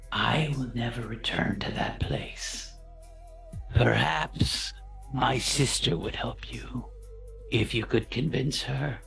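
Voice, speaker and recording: A put-on character voice moves at a fairly slow pace with long, frequent pauses, while music plays clearly in the background. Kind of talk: ominous fantasy mystic. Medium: actual play. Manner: slow, solemn, cryptic short sentences.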